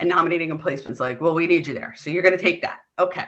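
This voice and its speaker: With an American accent, a woman is speaking. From New Jersey (Bergen County). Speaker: lawyer and volunteer organization leader. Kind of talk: talk at an online meeting. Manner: fast.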